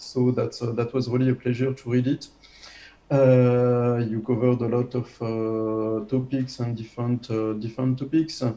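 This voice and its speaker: This man has a French accent, a medium pitch, a dark, mellow tone and a moderate pace. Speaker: habilitation reviewer. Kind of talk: academic defense review. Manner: halting, many fillers.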